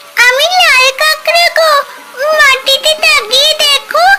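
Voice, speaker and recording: The pitch is extremely high in a cartoonish character voice. Light background noise sits underneath. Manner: pleading.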